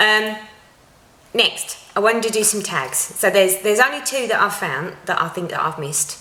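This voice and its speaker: With noticeable background noise and audible room echo, a woman at medium pitch speaks at a moderate pace with lively intonation. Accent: Essex. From Essex, England. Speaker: cross-stitch vlogger. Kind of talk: casual vlog talk to viewers. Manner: chatty, frequent ums.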